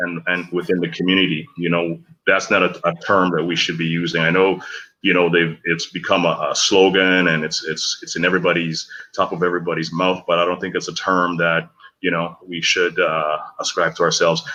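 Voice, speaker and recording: A man's very deep, low voice with a bright, sharp tone and monotone, flat intonation, at a fairly quick pace against a quiet background. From Grenada. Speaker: guest speaker on community issues. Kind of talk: talk show discussion. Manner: halting, many fillers and repetitions.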